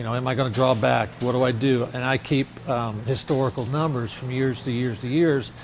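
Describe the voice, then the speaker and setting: Over noticeable background noise, the voice moves at a fairly quick pace with hardly any pauses and fairly even intonation. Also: man, medium pitch for a man. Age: 60s. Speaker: restaurant owner. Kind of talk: interview. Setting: restaurant.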